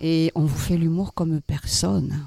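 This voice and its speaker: At a very slow pace, a man speaks with ordinary pitch variation in a dry, close sound with no echo on a very clean recording with a silent background. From Toulouse, Occitanie. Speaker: musical theatre performer. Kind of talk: radio interview.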